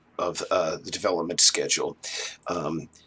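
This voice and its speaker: Here a man speaks at a fairly slow pace. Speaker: indie game developer. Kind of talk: casual video update. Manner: deliberately low-key, not yelling; halting with many fillers.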